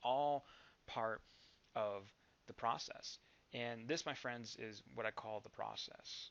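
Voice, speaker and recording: A man's calm tone at a medium pitch. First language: not English. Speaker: network marketing vlogger. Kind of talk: motivational vlog.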